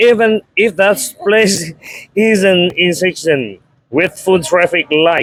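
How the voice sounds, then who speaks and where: A man talks very slowly in a Vietnamese accent, with ordinary pitch variation. The sound is dry and close, without echo. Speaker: interviewer. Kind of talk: interview. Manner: halting.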